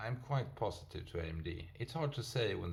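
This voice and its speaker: The voice carries vocal fry and a non-native accent. Its pitch swings very widely at a fairly slow pace. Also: man. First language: not English. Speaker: stock market video host. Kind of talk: casual investment commentary. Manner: halting, many fillers and self-corrections.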